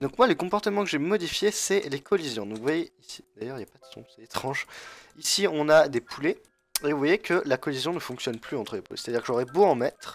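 With music playing behind him, a man speaks at a fairly high pitch in a dry, close sound with no echo. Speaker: gaming youtuber. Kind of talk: gameplay tutorial commentary. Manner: hesitant, many fillers.

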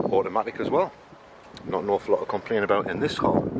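A man's voice comes through dry, with no echo, while loud background noise fills the recording. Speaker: car channel host. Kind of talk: casual vlog commentary. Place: street. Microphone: phone near.

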